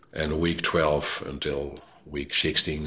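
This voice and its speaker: In a Dutch accent, a man speaks with a very deep, low pitch. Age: 60s. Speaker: police innovation executive. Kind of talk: interview. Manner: halting.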